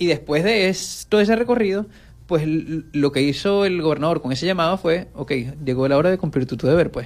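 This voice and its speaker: He has a normal speaking voice, fairly high for a man. His pace is fairly quick, with ordinary pitch variation. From Venezuela, Zulia. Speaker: journalist and regional government official. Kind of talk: radio interview.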